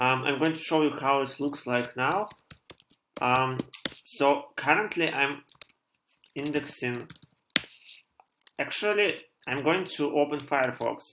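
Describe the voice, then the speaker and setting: Fairly slow, high-pitched male speech in a Russian accent, with ordinary pitch variation and long, frequent pauses. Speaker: programmer live-streamer. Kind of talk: live coding stream tutorial. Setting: live stream at home. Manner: halting, many fillers.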